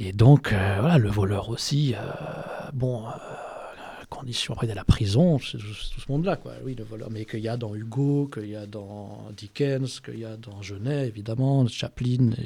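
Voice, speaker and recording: Somewhat breathy with a dark, mellow tone, a man's voice swings widely in loudness. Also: medium pitch for a man, ordinary pitch variation, moderate pace. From France. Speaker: writer. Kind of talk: interview. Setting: bookshop event. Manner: halting.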